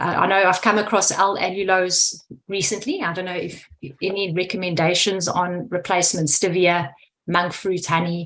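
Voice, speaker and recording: A woman with a South African accent speaks at a medium pitch and a moderate pace in a monotone, flat intonation. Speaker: food scientist. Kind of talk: Q&A question on video call. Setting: video call.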